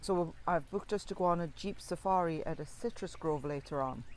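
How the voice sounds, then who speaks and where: In a Geordie accent, a woman speaks at a fairly low pitch. Her pace is moderate. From northeast England (Tyneside). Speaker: family travel vlogger. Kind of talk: casual vlog narration. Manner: talkative.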